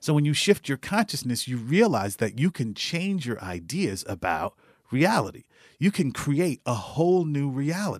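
A man with an American accent talks at a fairly high pitch, swinging very widely up and down. The recording is very clean, with a silent background. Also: moderate pace, dry, close sound with no echo. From New York City. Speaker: wealth coach and stock market investor. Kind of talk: interview.

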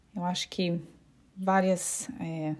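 A dark, mellow voice speaks with monotone, flat intonation on a very clean recording with a silent background. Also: woman. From Brazil, Curitiba. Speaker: home staging consultant and podcast host. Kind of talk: solo informational podcast monologue. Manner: hesitant, with frequent fillers.

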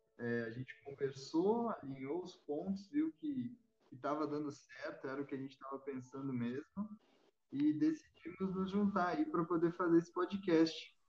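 A high-pitched man with a southern Brazilian accent. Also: lively intonation, moderate pace, big swings in loudness. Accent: southern Brazilian (gaúcho) Portuguese. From Rio Grande do Sul, Brazil. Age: 20s. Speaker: podcast host. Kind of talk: casual chat.

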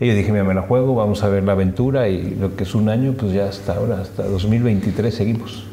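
A man's fairly low voice with fairly even intonation and very even loudness, hardly any pauses, audible room echo and noticeable background noise. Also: fairly quick pace. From Mexico. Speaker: hotel director and triathlete. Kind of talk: interview. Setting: hotel venue.

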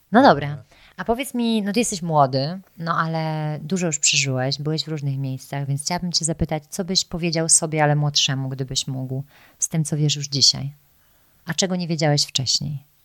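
On a very clean recording with a silent background, a woman talks at a fairly quick pace in a very deep, low pitch with ordinary pitch variation. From Poland. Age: 30s. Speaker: podcast host. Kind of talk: casual interview conversation. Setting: in-person at guest's home.

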